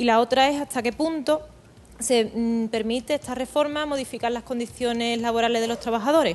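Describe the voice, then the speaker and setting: A woman talks at a fairly quick pace in a high pitch, keeping her intonation fairly even. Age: 20s. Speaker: social worker, audience member. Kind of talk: question to guest. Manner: halting.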